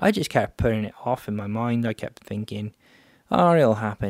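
In a normal speaking voice, a man talks at a moderate pace and fairly low pitch with ordinary pitch variation, in a very clean recording that is dry and close, with no echo and a silent background. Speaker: podcast host, photographer and filmmaker. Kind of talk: solo podcast monologue.

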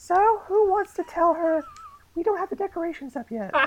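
Someone puts on a character voice, pitching it extremely high and keeping a moderate pace.

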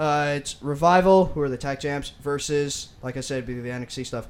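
A plain, everyday voice from a man, fairly high in pitch, with ordinary pitch variation. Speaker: wrestling podcast co-host. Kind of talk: casual banter about wrestling.

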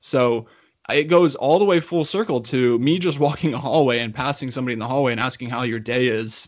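A man speaks fairly quickly at a medium pitch, with ordinary pitch variation. It is an unremarkable speaking voice. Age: 30s. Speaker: podcast host and coach. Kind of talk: interview conversation.

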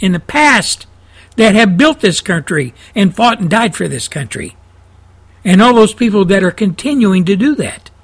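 With a Texan accent, a man talks at a fairly slow pace in a high pitch with lively intonation. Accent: Texan Southern US. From Texas. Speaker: talk radio host. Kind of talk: fiery conservative radio rant. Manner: indignant, hammering and repetitive; folksy storytelling with laughs.

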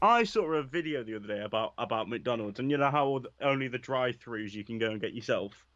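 Words come at a very fast pace with hardly any pauses. Pitch variation is ordinary. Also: man, medium pitch for a man. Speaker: radio co-host. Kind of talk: casual chat.

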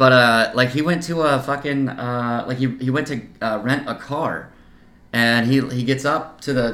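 A man with an American accent speaks at a medium pitch, and the room echo is audible. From US Midwest (Kansas-born, grew up near Iowa). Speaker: podcast co-host. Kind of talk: casual chat.

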